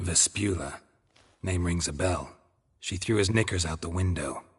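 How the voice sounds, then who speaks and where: A man puts on a character voice with very deep, low pitch. The background is quiet. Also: moderate pace. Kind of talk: video game voice acting. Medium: video game. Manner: terse, deadpan, dry.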